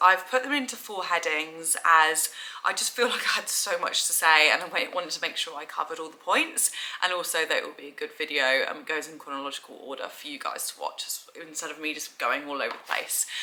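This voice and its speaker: Over noticeable background noise, a woman with a fairly low pitch talks at a very fast pace, with ordinary pitch variation. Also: big swings in loudness. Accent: London. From England. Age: 20s. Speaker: vlogger. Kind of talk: casual vlog talk to camera.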